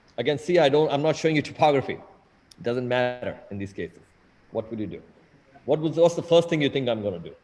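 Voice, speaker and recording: With lively intonation and a fairly high pitch, a man talks very fast but leaves long, frequent pauses. His loudness swings widely. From India (Mumbai). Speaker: eye surgeon. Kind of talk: lecture. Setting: video call. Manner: animated.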